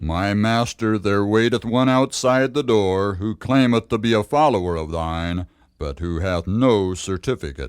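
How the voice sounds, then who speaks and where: Using a put-on character voice, a man speaks in a stern tone at a fairly low pitch and moderate pace, with hardly any pauses. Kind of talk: archaic biblical speech. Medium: audio drama. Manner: formal, stern.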